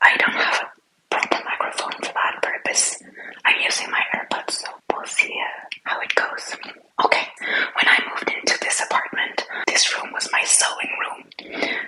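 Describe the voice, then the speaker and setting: A whisper delivered at a moderate pace. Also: woman. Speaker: entrepreneur and aspiring life coach. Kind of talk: ASMR studio tour. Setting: at home in her studio/office room. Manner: whispering.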